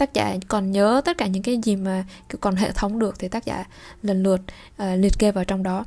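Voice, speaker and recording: Over a very clean recording with a silent background, a woman speaks with a dark, mellow tone and fairly even intonation. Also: medium pitch for a woman, fairly quick pace. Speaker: French language teacher, channel host. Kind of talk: bilingual language lesson with reading aloud.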